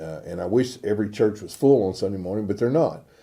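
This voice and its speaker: A man's fairly low, dark and mellow voice with a Texan accent, plus audible room echo. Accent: Texan Southern US. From US South, Northeast Texas. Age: 60s. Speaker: pastor. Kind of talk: informal sermon. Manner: casual, conversational.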